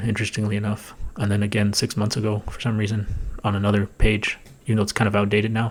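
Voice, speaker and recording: Quiet and very fast, a man talks at a fairly low pitch. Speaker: political commentary youtuber. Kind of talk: commentary on a played video. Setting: home recording, thin walls.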